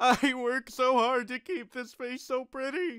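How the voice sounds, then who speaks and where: Pitched extremely high, a man talks at a fairly slow pace in a dry, close sound with no echo. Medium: comedy sketch. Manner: whiny, indignant, overdramatic.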